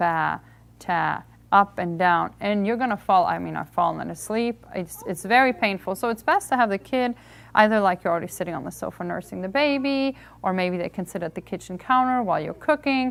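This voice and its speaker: On a very clean recording with a silent background, a woman with a Hungarian accent speaks at a fairly quick pace, using a medium pitch and lively intonation. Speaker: homeschool reading workshop presenter. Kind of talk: lecture.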